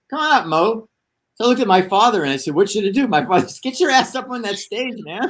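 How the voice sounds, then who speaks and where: On a very clean recording with a silent background, a man with an American accent talks very fast in a high voice, with very wide pitch swings and big swings in loudness. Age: 70s. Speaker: actor and screenwriter. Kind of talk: casual interview storytelling. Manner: animated.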